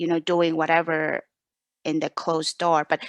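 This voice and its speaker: At a moderate pace, a woman with a non-native accent speaks at a fairly low pitch, the sound dry and close with no echo and a quiet background. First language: not English. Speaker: podcast host and meditation teacher. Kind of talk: interview. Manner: halting.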